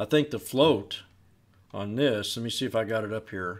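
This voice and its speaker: The speaker has an American accent and talks at a moderate pace. Pitch variation is ordinary. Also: man. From US Pacific Northwest, Portland, Oregon. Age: 50s. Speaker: stock trader, market commentator. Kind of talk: tutorial; casual chat. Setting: screen-share recording. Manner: conversational. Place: home room.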